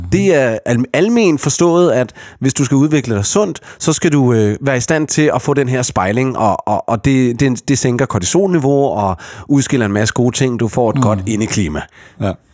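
A plain, everyday voice with lively intonation, very even loudness and a fairly slow pace. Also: man, medium pitch for a man. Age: 30s. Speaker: podcast host. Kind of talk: casual chat.

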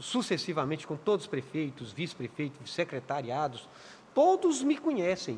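The man's voice is somewhat breathy, moving at a moderate pace and showing ordinary pitch variation. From Minas Gerais, Brazil (Contagem). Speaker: city councillor and community leader. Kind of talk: interview.

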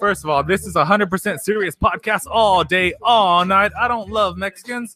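Projecting a raised voice at a moderate pace, a man speaks high-pitched with a bright, sharp tone and lively intonation, the sound dry and close with no echo. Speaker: podcast host and streamer. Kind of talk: comedy persona patter: profane radio-DJ bit.

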